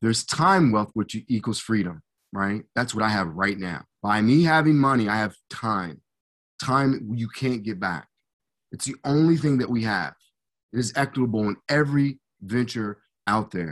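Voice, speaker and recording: In an American accent, a man speaks at a moderate pace in a medium pitch with lively intonation, a normal speaking voice over a quiet background. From US Midwest, Hutchinson, Kansas. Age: 50s. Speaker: former pro football player, motivational speaker. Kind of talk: podcast interview.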